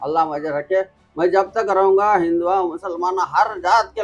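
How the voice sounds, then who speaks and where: This is a man speaking with a high pitch. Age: 70s. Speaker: snake catcher and body recovery volunteer. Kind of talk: interview answers. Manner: halting.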